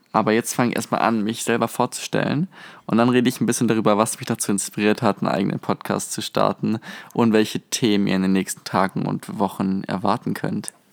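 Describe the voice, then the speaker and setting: A man with a fairly low pitch and vocal fry talks at a very fast pace, his pitch varying in an ordinary way. The recording is very clean, with a silent background and a dry, close sound with no echo. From southwestern Germany, near Stuttgart. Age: 20s. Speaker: podcast host, university student. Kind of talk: casual podcast monologue. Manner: animated.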